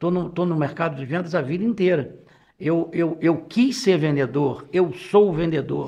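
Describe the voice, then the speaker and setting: Pitched high for a man, he speaks at a fairly slow pace with ordinary pitch variation. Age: 70s. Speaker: business executive. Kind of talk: casual interview talk. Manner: halting, repeats words.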